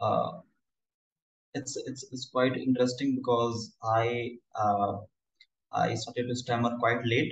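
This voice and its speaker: A man with an Indian accent speaks fairly slowly at a medium pitch, somewhat breathy. His intonation is fairly even, with long, frequent pauses. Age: 20s. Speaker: stammering campaigner. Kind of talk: casual interview. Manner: halting.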